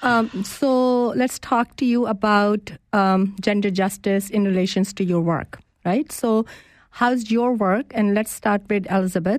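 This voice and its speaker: A woman speaks at a fairly slow pace and medium pitch, with ordinary pitch variation and very even loudness. The sound is dry and close with no echo, over a quiet background. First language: not English. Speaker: guest radio host. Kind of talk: live radio interview. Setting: radio studio.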